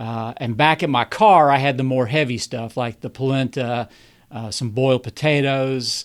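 A man of medium pitch with a Southern US accent. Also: ordinary pitch variation. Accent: southern drawl. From Kentucky. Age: 50s. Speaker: amateur ultrarunner. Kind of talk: podcast interview.

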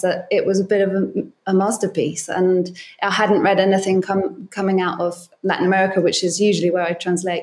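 A woman speaks at a medium pitch. Hers is an unremarkable speaking voice. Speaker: literary translator. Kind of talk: interview.

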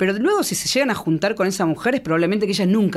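A woman's pitch swings very widely as she talks. Noticeable background noise can be heard behind her. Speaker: comedian. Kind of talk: comedic casual chat.

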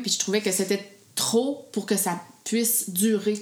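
A woman speaks with a Quebec accent over noticeable background noise. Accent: Québécois French. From Quebec, Gaspésie. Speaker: food blogger and mother. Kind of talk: casual interview.

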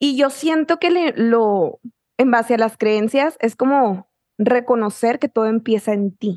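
In a dry, close sound with no echo, a woman with an ordinary speaking voice talks at a fairly slow pace, using a fairly high pitch and ordinary pitch variation. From Mexico, Chihuahua (small town). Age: 20s. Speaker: author and manifestation coach, podcaster. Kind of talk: casual chat.

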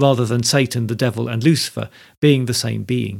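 Vocal fry from a man at medium pitch and a fairly quick pace, on a very clean recording with a silent background. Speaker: podcast host. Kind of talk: scripted narration with a dramatic reading of a medieval play.

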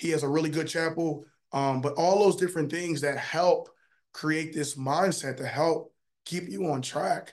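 Intonation stays fairly even while the words come at a moderate pace. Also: man, fairly high pitch for a man. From Philadelphia. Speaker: pro football player. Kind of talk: casual interview.

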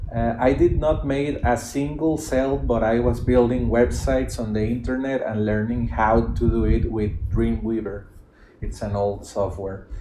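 A man with a Spanish accent speaks at a moderate pace and medium pitch with lively intonation, amid audible room echo and noticeable background noise. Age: 30s. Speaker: podcast host, digital entrepreneur. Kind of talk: reading aloud a written thread with commentary. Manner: halting, repeats words.

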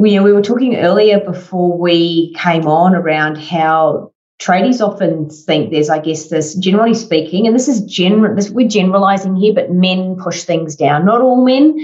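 A normal speaking voice from a woman at medium pitch, moderate pace, ordinary pitch variation, hardly any pauses and very even loudness. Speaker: podcast host. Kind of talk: interview conversation.

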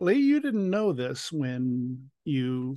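A man speaks at a very slow pace with a quiet background. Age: 60s. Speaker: podcast host. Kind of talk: interview conversation. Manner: emotional, voice cracking.

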